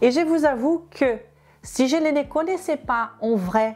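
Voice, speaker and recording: At a very slow pace, a woman with a high pitch and a Portuguese accent speaks with very even loudness. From Brazil. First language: Portuguese (speaking French). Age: 30s. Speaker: health and weight-loss youtuber. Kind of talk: personal story to camera.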